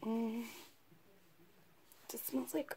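Amid light background noise, a woman speaks at a very slow pace with lively intonation, a somewhat breathy voice and a dark, mellow tone. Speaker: beauty vlogger. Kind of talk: casual talk to camera. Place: home room. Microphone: phone near.

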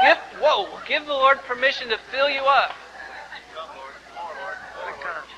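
A man speaks in a raised, projected voice at an extremely high pitch, with big swings in loudness and long, frequent pauses. Noticeable background noise runs underneath. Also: ordinary pitch variation, fairly slow pace. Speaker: pastor. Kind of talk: church sermon, revival ministry. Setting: live church service. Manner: fervent, exhorting. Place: church.

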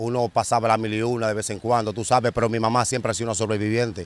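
In a dry recording with no echo, a man of medium pitch talks at a fairly quick pace. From Dominican Republic, Santo Domingo; Dominican Republic. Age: 40s. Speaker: former street criminal; interviewee. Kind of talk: interview, street life testimony. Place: open country. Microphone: handheld.

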